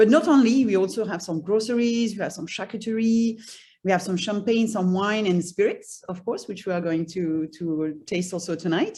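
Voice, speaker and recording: Against a quiet background, a woman with a slight French accent talks at a moderate pace and medium pitch. Her tone is dark, mellow and somewhat breathy, with ordinary pitch variation. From France. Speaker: cheese shop owner. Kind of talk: self-introduction presentation. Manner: halting, many repetitions.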